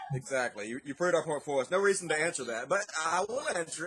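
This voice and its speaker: Noticeable background noise sits behind a man talking at a very fast pace. His pitch varies in an ordinary way. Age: 30s. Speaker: atheist YouTuber. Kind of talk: interview answer.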